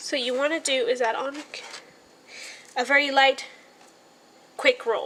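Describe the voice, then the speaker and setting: Lively intonation over noticeable background noise. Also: woman. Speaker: nail art tutorial creator. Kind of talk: casual tutorial narration. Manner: casual, hesitant with many fillers.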